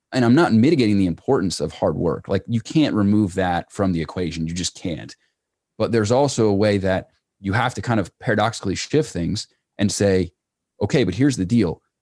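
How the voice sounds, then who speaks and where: Speaking with an unremarkable speaking voice, a man talks at a fairly quick pace in a fairly low pitch with lively intonation. The sound is dry and close with no echo, on a very clean recording with a silent background. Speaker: entrepreneur and business coach. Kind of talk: casual interview.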